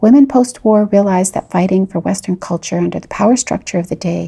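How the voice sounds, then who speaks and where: Speaking with a Canadian accent, a woman with a medium pitch and a dark, mellow tone shows ordinary pitch variation and vocal fry. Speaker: podcast host. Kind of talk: scripted narration.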